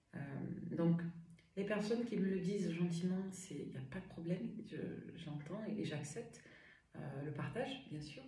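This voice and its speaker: With audible room echo, a woman speaks at a fairly low pitch and leaves long, frequent pauses. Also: ordinary pitch variation, moderate pace. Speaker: medium and tarot reader. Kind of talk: tarot reading livestream. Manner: animated.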